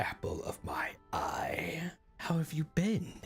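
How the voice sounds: Whispering in a put-on character voice at a fairly slow pace, the speaker is heard over faint music in the background.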